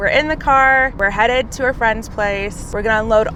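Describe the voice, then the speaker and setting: Noticeable background noise and audible room echo surround the recording. A woman speaks at a fairly high pitch with fairly even intonation. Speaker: vlogger and brand founder. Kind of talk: casual vlog. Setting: in a car.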